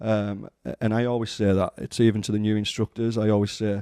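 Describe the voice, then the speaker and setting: Dry and close with no echo, a man's fairly low, dark, mellow voice stays in a monotone, flat intonation. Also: quiet background. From northern England, Maryport, Cumbria. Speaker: firearms instructor. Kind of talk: casual interview. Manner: hesitant, many fillers and restarts.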